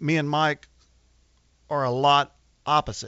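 The speaker is a man. He has an American accent. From Arkansas, US South. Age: 40s. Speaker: drag boat racer. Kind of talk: casual chat. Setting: studio.

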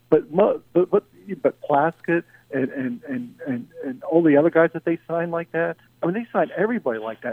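At a moderate pace, a man with an American accent speaks in a plain, everyday voice, fairly high in pitch with lively intonation. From Philadelphia, US. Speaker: sports radio caller. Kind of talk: casual call-in chat. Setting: phone call.

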